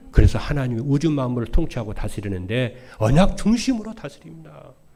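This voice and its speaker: Here a man speaks with vocal fry and a dark, mellow tone. Audible room echo hangs around his voice. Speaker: pastor. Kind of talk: sermon. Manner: stutters, by his own account.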